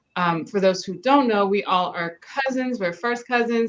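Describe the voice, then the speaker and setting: The pace here is moderate, with ordinary pitch variation. It is an ordinary speaking voice. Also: woman. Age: 40s. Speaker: podcast host. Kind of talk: casual chat.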